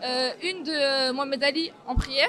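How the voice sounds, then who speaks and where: Crowd noise fills the background as a woman speaks at a high pitch with ordinary pitch variation. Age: 20s. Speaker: young photographer. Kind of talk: interview testimony.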